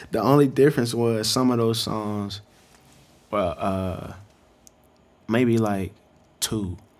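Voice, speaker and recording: A man with an American accent speaks at a very slow pace, medium in pitch. His intonation is fairly even, broken by long, frequent pauses. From North Carolina (Greensboro). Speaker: hip-hop artist and photographer. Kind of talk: casual interview chat.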